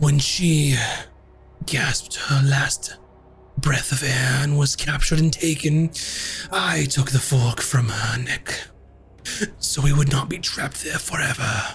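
A man's put-on character voice, fairly high, fairly slow, with long, frequent pauses. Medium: actual play. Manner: formal, archaic, measured.

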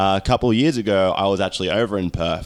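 This man speaks with an Australian accent. His voice is very deep and low. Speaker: podcast host and pro wrestler. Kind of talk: casual chat.

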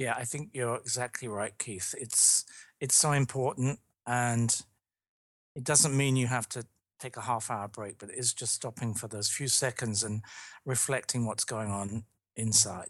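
Speaking in a British accent, a man keeps his intonation fairly even. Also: medium pitch for a man, moderate pace, quiet background. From London, England. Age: 50s. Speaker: leadership consultant and author. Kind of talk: podcast interview. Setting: remote call.

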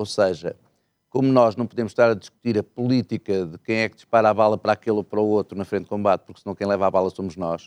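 Very fast and dry, this man's fairly low voice sounds close with no echo. His intonation stays fairly even while his loudness swings widely. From northeastern Portugal, Miranda do Douro. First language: Mirandese (speaking Portuguese). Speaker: party politician. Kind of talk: political interview.

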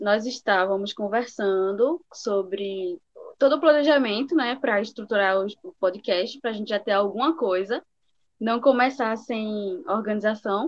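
A woman with a fairly high pitch talks at a fairly slow pace, her intonation lively. Her loudness swings widely, and she has an unremarkable speaking voice. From Recife, Pernambuco, Brazil. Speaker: podcast co-host. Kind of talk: casual chat.

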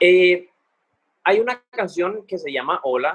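With ordinary pitch variation, a man delivers his words at a very slow pace. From Cartagena, Colombia. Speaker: singer. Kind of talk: casual interview.

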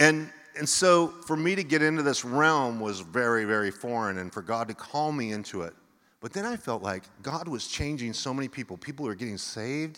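Speaking at a moderate pace, a man with a medium pitch and a bright, sharp tone uses lively intonation. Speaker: pastor. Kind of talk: sermon. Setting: church.

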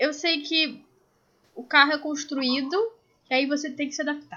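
This is a woman speaking. Her voice is raised and projected. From Brazil, Rio de Janeiro. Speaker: podcast co-host. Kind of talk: casual chat. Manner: animated.

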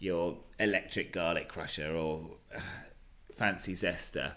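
A man speaks at a very slow pace with a British accent. His intonation stays fairly even, and the room echo is audible. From Britain. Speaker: experienced sailor and cook. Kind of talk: interview. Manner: hesitant, many fillers.

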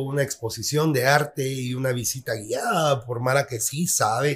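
In a very clean recording with a silent background, a man with a Guatemalan accent speaks at a fairly slow pace in a somewhat breathy, fairly high voice. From Guatemala, Quetzaltenango. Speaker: photographer. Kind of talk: casual interview chat.

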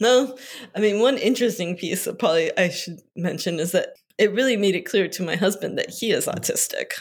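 A woman talks at a fairly quick pace in an ordinary speaking voice. Her pitch is medium, with ordinary pitch variation. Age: 40s. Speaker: children's book author and editor. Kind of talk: casual chat.

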